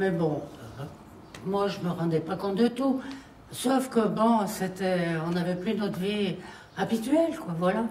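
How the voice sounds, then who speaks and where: A woman's medium-pitched, lively voice at a very slow pace, with long, frequent pauses, audible room echo and noticeable background noise. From France, Isère (near Grenoble). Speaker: elderly war witness. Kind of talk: testimony.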